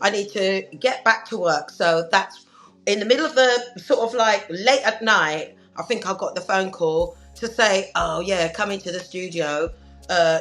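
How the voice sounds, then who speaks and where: A woman with a London accent speaks at a medium pitch. Her pitch varies in an ordinary way, with music in the background. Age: 60s. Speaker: singer. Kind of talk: interview.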